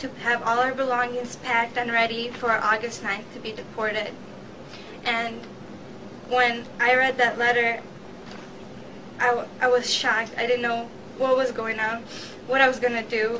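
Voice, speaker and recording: A high-pitched woman's flat, monotone voice at a moderate pace, with long, frequent pauses and noticeable background noise. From Albania. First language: Albanian. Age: young. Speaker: student. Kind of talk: interview answer.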